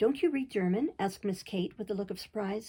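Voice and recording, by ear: Someone is reading aloud in a natural voice. The text comes across plainly as read.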